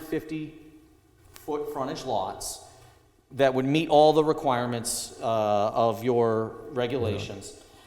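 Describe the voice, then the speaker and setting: A man talks at a fairly slow pace. The recording has audible room echo and noticeable background noise. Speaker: applicant's representative at zoning hearing. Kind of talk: presentation at public hearing. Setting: town hall meeting. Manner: loud.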